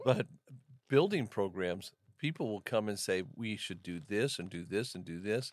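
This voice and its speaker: This man has a normal speaking voice with a fairly low pitch. He talks at a moderate pace with ordinary pitch variation. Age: 60s. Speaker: pastor. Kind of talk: casual chat.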